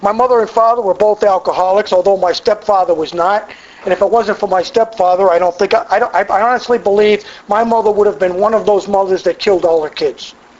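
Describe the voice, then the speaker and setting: Over noticeable background noise, a man with an American accent speaks very fast. His pitch is high and his intonation fairly even. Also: very even loudness. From Massachusetts. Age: 60s. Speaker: AA speaker. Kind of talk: recovery testimony talk. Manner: conversational with frequent stammered repetitions.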